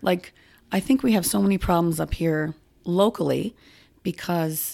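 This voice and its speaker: A woman speaks with a Nova Scotian accent. Her tone is dark and mellow. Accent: Nova Scotian Canadian. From Nova Scotia, Halifax (Spryfield). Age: 50s. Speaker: farmers market manager. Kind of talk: casual interview.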